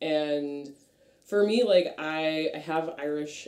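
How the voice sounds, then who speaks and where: Speaking with an American accent, a woman uses a very deep, low pitch and a dark, mellow tone with ordinary pitch variation. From Massachusetts. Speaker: plant and nature-worship practitioner. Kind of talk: casual chat. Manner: casual, many fillers.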